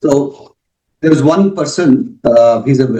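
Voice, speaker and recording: The voice has a dark, mellow tone with a Karnataka accent. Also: man. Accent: Indian English, Kannada. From India, Bangalore. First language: Kannada. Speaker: author on spirituality. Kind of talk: interview.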